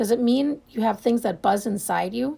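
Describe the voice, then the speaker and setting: Putting on a character voice, a woman speaks at a moderate pace in a raspy, fairly high pitch. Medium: read story. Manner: timid, soft.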